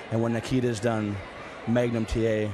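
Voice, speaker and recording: Noticeable background noise surrounds a man who talks fairly quickly. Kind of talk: wrestling promo, vengeful interview.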